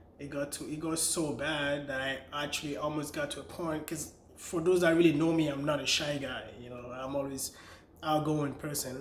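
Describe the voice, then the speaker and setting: With a Nigerian accent, a man speaks at a fairly high pitch and moderate pace, monotone and flat, with big swings in loudness, audible room echo and noticeable background noise. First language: Nigerian language, not English. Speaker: vlogger and author. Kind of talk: personal story vlog. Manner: casual, conversational.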